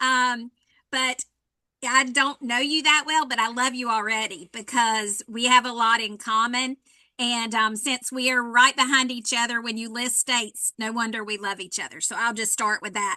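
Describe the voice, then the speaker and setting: A woman with a North Carolina accent speaks at a moderate pace in a high pitch. Her tone is bright and sharp, and her intonation is fairly even. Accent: Southern US (North Carolina). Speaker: fire safety educator. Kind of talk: workshop presentation. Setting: virtual workshop.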